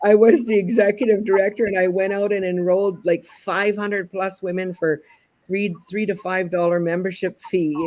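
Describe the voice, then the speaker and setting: With an unremarkable speaking voice, a woman talks at a medium pitch and moderate pace, her intonation fairly even. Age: 60s. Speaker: talk show host. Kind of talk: casual interview conversation.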